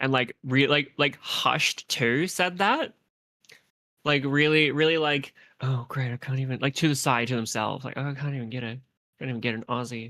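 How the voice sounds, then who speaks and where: Against a silent background in a very clean recording, a woman with a very deep, low pitch and a bright, sharp tone talks at a moderate pace with fairly even intonation. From Australia. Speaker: streamer, artist. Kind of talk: casual chat. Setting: live stream with co-host. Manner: halting, many fillers and restarts.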